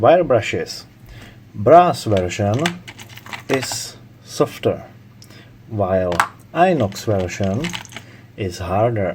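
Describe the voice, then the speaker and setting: A non-native accent at a very slow pace, with long, frequent pauses and noticeable background noise. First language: not English. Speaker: tool reviewer. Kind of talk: tool review talk to camera.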